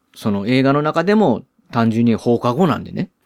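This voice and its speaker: A man talks in a Kansai accent at a moderate pace. His intonation is lively. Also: dry, close sound with no echo. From Osaka, Japan. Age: 40s. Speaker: podcast host. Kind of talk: solo movie review talk. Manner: casual, filler-heavy.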